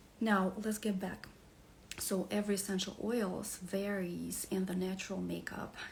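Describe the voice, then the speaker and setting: Someone speaks with a Russian accent, and audible room echo comes through. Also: woman. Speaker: wellness coach. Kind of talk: beginner's class presentation. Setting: live stream. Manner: halting, many fillers.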